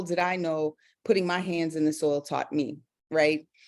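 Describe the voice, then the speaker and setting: On a very clean recording with a silent background, a woman with an American accent speaks at a moderate pace and fairly low pitch. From South Carolina Lowcountry. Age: 40s. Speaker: educator and garden coach. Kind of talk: presentation.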